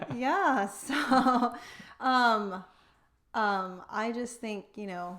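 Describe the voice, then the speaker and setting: Her voice bright and sharp at a fairly high pitch, a woman with a Texan accent speaks very slowly, leaving long, frequent pauses. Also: ordinary pitch variation. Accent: American, Texan. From Texas (Wichita Falls). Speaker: financial advisor. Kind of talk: casual chat.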